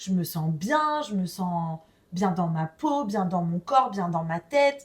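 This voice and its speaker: Very slowly and somewhat breathily, a woman speaks at a medium pitch. Her pitch swings very widely. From France. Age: 30s. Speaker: podcast guest. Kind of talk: casual interview. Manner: animated.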